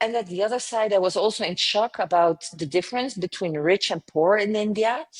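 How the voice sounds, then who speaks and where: With a French accent and ordinary pitch variation, a woman's voice comes through dry and close with no echo. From southern France. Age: 50s. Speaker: travel company founder. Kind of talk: interview.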